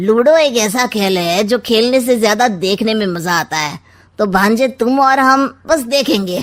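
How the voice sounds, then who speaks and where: A woman does a cartoonish character voice at a fairly high pitch, moderate pace and lively intonation. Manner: smug, teasing.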